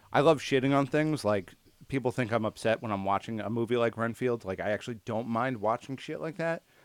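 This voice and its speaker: An unremarkable speaking voice at a fairly quick pace, very cleanly recorded against a silent background, dry and close with no echo. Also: man, medium pitch for a man, ordinary pitch variation. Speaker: podcast host. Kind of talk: casual chat.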